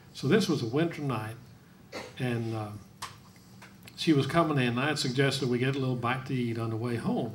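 Speech runs at a fairly quick pace. There is a somewhat breathy quality to it. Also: man. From Norway. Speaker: guest's husband. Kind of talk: interview with live audience. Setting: stage with audience.

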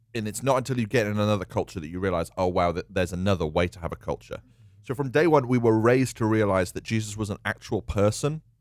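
The speaker is a man with a fairly low pitch. He goes at a very fast pace. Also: ordinary pitch variation. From UK. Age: 30s. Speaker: church leader. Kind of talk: casual chat.

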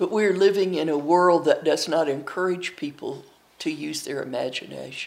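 A woman with an Appalachian accent speaks at a moderate pace in a fairly low pitch with ordinary pitch variation. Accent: Appalachian Southern US. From US Appalachia, eastern Tennessee and Kentucky. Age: 80s+. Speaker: storyteller. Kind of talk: interview.

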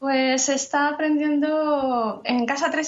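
A woman at a very slow pace. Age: 30s. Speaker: translator and mother. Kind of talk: interview.

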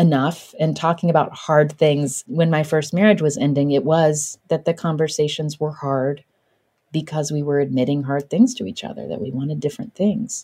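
A woman speaks with a very deep, low pitch and a dark, mellow tone. She has an American accent. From West Virginia. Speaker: podcaster and author. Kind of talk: interview.

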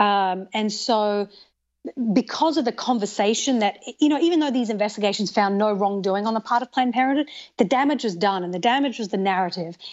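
Talking at a fairly quick pace, a woman with an Australian accent has a fairly high pitch and ordinary pitch variation. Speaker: TV host and documentary maker. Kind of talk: interview conversation. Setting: remote recording, sitting in an armchair.

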